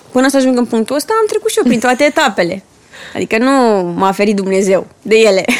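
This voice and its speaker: A woman talks at a fairly quick pace with a fairly high pitch and ordinary pitch variation. Her loudness stays very even over noticeable background noise. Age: young. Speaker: entrepreneur and mother. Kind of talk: casual chat.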